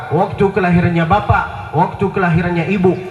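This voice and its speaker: Speaking at a moderate pace in a high pitch, a man is heard with noticeable background noise and audible room echo. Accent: Arabic. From Saudi Arabia (Mecca). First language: Arabic (speaking Indonesian). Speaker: Islamic preacher. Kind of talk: religious lecture. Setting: outdoor public square event with audience.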